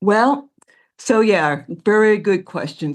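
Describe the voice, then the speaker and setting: A woman talks with lively intonation against a quiet background. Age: 70s. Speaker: hiking client, Kilimanjaro climber. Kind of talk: interview. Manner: halting.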